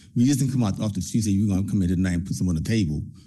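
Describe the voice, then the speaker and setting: A man with an American accent speaks in a dark, mellow tone at a fairly low pitch, his pitch varying in an ordinary way, with audible room echo. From Trenton, New Jersey. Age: 60s. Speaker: community program leader. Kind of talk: public comment at council meeting.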